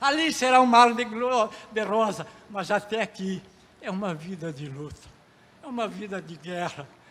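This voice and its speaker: Against noticeable background noise, a man with a high pitch speaks at a moderate pace, using lively intonation, big swings in loudness, and long, frequent pauses. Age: 80s+. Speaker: pastor. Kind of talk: sermon.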